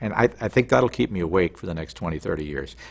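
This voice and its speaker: Somewhat breathy, this voice carries an American accent. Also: man. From US Midwest. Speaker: television news correspondent. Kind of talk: interview. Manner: animated.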